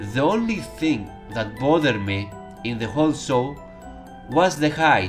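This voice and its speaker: With music in the background, a man speaks at a fairly slow pace using lively intonation. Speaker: YouTube TV show reviewer. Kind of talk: casual spoken review to camera.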